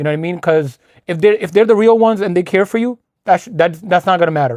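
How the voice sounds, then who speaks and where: A man speaks very fast at a high pitch with ordinary pitch variation, the sound dry and close with no echo. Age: 30s. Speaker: podcast co-host. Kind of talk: casual chat.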